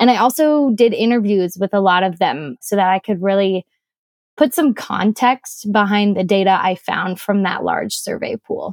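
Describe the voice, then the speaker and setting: A woman's ordinary speaking voice, medium in pitch, at a moderate pace with ordinary pitch variation and a dry, close sound with no echo. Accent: American. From US Midwest. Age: 20s. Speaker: startup founder and researcher. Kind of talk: interview conversation.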